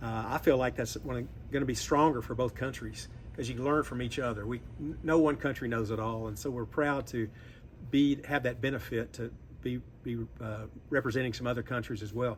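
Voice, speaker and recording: A fairly quick, vocal-fried delivery in a Southern US accent, with fairly even intonation. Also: man, medium pitch for a man. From US South, Memphis, Tennessee. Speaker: industry association executive. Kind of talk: interview. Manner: halting.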